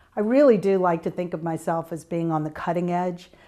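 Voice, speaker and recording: In a Virginia accent, a woman with a dark, mellow tone speaks at a fairly low pitch and moderate pace, her pitch varying in an ordinary way. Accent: Virginia Southern. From US South, Tidewater Virginia. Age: 60s. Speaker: alumna interviewee. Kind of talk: oral history interview. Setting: interview room. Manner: hesitant with fillers.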